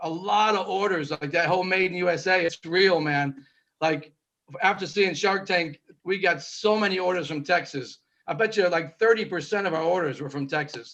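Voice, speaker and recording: At a moderate pace, a man talks in a high pitch with a bright, sharp tone. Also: ordinary pitch variation. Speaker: co-host, inventor. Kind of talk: casual chat.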